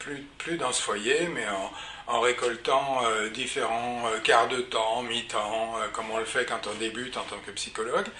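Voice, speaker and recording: A man speaks fairly slowly in a room with audible echo and noticeable background noise. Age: 70s. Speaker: psychologist and psychoanalyst. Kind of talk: personal career account. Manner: hesitant with frequent fillers.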